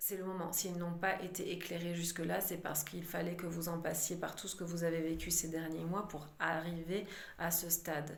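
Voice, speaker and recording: Monotone, flat speech comes through audible room echo and noticeable background noise. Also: woman, fairly low pitch for a woman, moderate pace. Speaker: psychic medium doing card readings. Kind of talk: channeled oracle card reading.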